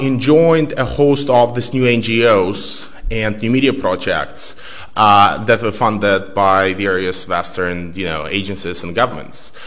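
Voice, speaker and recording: A man with a fairly low voice speaks at a fairly slow pace with ordinary pitch variation and hardly any pauses, with noticeable background noise and audible room echo. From Belarus. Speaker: author and researcher. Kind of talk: lecture. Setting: stage with audience.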